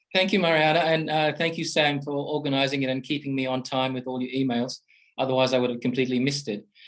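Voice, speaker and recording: A fairly high-pitched man with an Australian accent, very fast pace, and fairly even intonation. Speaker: professor. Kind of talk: panel discussion talk. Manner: halting, many repetitions and fillers.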